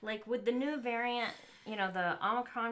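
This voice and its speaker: A woman with a fairly high pitch talks in an American accent. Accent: Southern US, suppressed. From US South. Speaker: LEGO streamer. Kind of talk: live stream chat. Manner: hesitant, many fillers.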